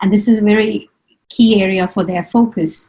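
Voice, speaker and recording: A somewhat breathy woman at medium pitch, with fairly even intonation. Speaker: webinar panelist on family planning programs. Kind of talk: webinar presentation. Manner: fast.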